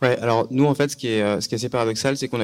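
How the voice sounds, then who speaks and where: This man talks at a medium pitch with fairly even intonation. The recording is very clean, with a silent background. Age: 20s. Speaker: startup co-founder. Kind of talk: talk with audience.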